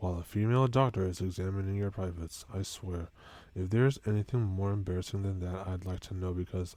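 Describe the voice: Fairly even intonation throughout a plain reading aloud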